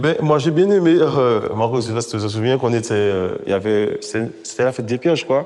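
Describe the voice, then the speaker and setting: A man talks at a fairly quick clip with hardly any pauses, his medium-pitched voice rising and falling in a lively way over noticeable background noise. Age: 40s. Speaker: father in a parenting association. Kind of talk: documentary interview testimony.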